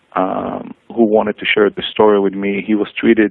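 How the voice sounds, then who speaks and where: A man with an Israeli accent talks at a moderate pace. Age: 40s. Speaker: cancer patient. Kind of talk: testimony. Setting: radio show. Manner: hesitant, many fillers.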